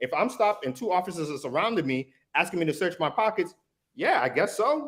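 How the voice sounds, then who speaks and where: With a Massachusetts accent, a man talks at a fairly quick pace. His pitch is high and swings very widely. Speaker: defense attorney and army veteran. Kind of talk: casual discussion.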